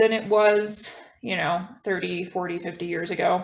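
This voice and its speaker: Here a woman speaks with a North American accent. Her pitch is medium and her pace fairly slow. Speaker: guest on a philosophy podcast. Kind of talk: casual conversation. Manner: hesitant with many fillers.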